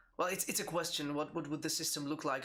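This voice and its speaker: Speaking with a Czech accent, a man talks at a fairly high pitch. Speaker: game designer. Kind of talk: live Q&A stream. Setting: live stream. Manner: halting, many repetitions.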